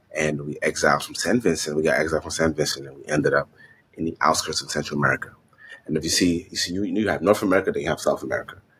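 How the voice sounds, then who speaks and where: Against noticeable background noise, a man speaks very fast with big swings in loudness. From Honduras, Garifuna community. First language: Spanish. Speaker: fashion designer and entrepreneur. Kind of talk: interview. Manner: animated.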